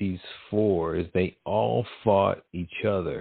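Here is a man with a plain, everyday voice. He speaks at a fairly low pitch with ordinary pitch variation. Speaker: podcast host. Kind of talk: casual chat. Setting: internet radio show.

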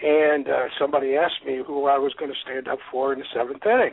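Vocal fry and a slightly husky edge mark a man's voice as he talks at a fairly quick pace. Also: medium pitch for a man, ordinary pitch variation.

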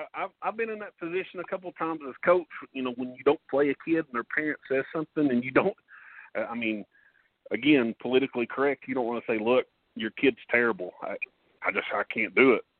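A man with an Appalachian accent, fairly high in pitch, very fast, with lively intonation and big swings in loudness. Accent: Appalachian Kentucky. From eastern Kentucky, Paintsville. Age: 40s. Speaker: former basketball player and coach. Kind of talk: interview. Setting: phone call.

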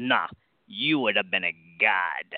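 A man's put-on character voice at fairly low pitch.

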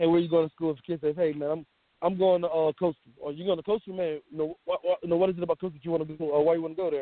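A man speaks with a Lowcountry South Carolina accent at a fairly high pitch. His intonation stays monotone and flat. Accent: US Southern (South Carolina Lowcountry). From South Carolina Lowcountry. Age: 30s. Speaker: high school football head coach. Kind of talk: interview.

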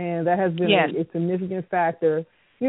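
This woman has a plain, everyday voice with a fairly low pitch and keeps a moderate pace. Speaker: radio show host and producer. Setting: live radio broadcast.

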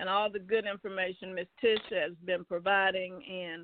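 A woman speaks at a moderate pace and a medium pitch. Hers is an unremarkable speaking voice with fairly even intonation. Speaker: caller. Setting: phone call.

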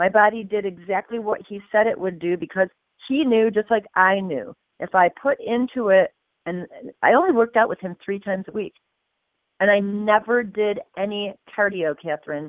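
In an ordinary speaking voice, a woman talks at a moderate pace with medium pitch and ordinary pitch variation. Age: 50s. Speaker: fitness coach. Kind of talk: interview.

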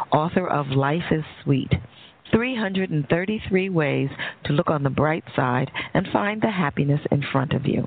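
Speaking at a fairly slow pace, a woman with an American accent has a very deep, low pitch. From New York. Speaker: radio host and psychologist. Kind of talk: interview on talk radio. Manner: halting.

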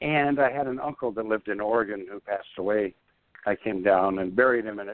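A man with an ordinary speaking voice talks at a fairly quick pace, fairly low in pitch with ordinary pitch variation. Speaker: minister and author. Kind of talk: interview about a book chapter.

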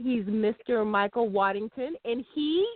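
Recorded with a dry, close sound and no echo, a woman speaks at medium pitch with ordinary pitch variation.

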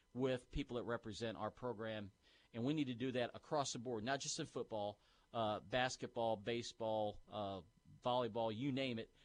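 An enthusiastic man speaks at a medium pitch. His pace is moderate and his pitch varies in an ordinary way. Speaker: university sports information director. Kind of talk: radio sports talk interview, upbeat and conversational. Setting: radio studio. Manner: enthusiastic, fluent, promotional.

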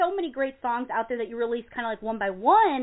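A woman speaks in an animated tone. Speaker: radio show host. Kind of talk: casual interview. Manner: animated, effusive.

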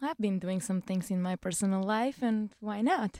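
A woman speaks with a Bulgarian accent at a moderate pace. The sound is dry and close with no echo. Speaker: stripper and bartender. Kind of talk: casual chat. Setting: studio.

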